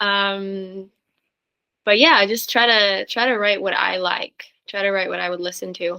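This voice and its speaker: A woman with a Norwegian accent speaks at medium pitch and a fairly slow pace, her intonation fairly even. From Norway. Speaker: singer-songwriter. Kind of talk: interview.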